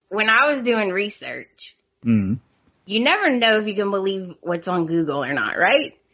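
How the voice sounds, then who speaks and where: A woman with a strong Southern US accent at medium pitch, her pitch swinging very widely at a fairly slow pace. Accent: heavy Southern US. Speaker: podcast host. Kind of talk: casual, says "y'all".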